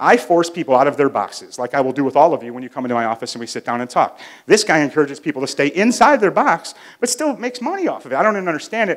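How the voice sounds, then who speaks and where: A man talks at a very fast pace, his fairly high voice making very wide pitch swings. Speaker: business speaker, marketing agency owner. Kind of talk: live talk to an audience. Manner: loud; casual, hesitant with fillers.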